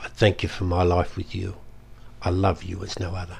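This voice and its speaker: Somewhat breathy, very deep and low male speech at a moderate pace. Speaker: performance poet. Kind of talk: poetry reading.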